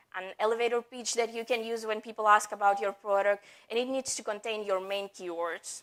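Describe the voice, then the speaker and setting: This is a very clean recording with a silent background. A woman speaks at a moderate pace. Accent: non-native. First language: not English. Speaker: marketing executive. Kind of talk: conference talk. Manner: halting.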